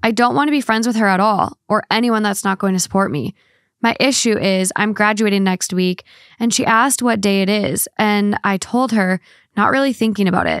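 A woman talks in an unremarkable speaking voice at medium pitch and a fairly quick pace. Her loudness stays very even, with ordinary pitch variation and a dry sound with no echo. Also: quiet background. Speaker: podcast co-host. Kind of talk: casual advice chat. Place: home room. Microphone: studio mic.

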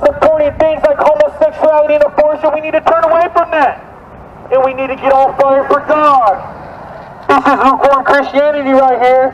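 Loud and at an extremely high pitch, a man talks at a fairly quick pace with fairly even intonation over light background noise. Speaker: street preacher. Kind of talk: street preaching, loud, confrontational. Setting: outdoors. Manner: loud, fervent, urgent. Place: street. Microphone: camera far.

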